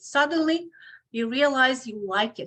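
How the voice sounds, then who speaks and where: With a Ukrainian accent, a woman speaks in a high pitch with lively intonation. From Ukraine. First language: Ukrainian or Russian. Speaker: obstetrician gynecologist. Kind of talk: podcast interview. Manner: halting, with many fillers.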